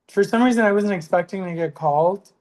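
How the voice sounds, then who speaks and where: A woman with an American accent, a fairly low pitch and ordinary pitch variation. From southeast Texas. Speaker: stand-up comedian. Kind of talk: casual chat.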